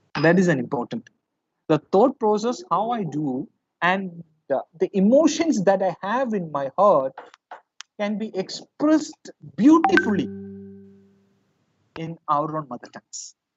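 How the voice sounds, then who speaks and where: Music plays in the background as the speaker talks at a fairly slow pace in a Keralan accent. Long pauses come often. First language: Malayalam. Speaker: professor. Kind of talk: lecture. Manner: halting.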